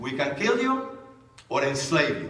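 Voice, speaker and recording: Over noticeable background noise and audible room echo, a man with a Spanish accent speaks at a moderate pace with lively intonation. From Cuba. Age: 70s. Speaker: author and speaker. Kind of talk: political talk to audience. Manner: animated.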